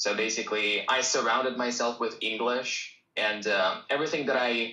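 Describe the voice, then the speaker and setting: Speaking at a moderate pace with a Russian accent, a man keeps a medium pitch and a monotone, flat intonation. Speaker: English teacher. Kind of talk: live stream Q&A. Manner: casual.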